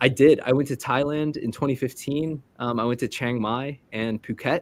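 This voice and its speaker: A man's ordinary speaking voice at medium pitch and moderate pace, with fairly even intonation and a dry, close sound with no echo. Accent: American. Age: 20s. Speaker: immigration consultant. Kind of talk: interview.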